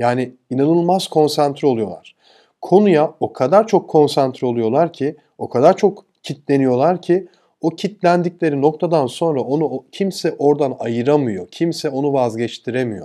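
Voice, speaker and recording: Against a quiet background, a man with a fairly high voice and a dark, mellow tone speaks at a fairly slow pace with lively intonation. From Turkey. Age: 40s. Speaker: e-commerce entrepreneur and YouTuber; YouTuber. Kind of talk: motivational talk. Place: home room. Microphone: lapel.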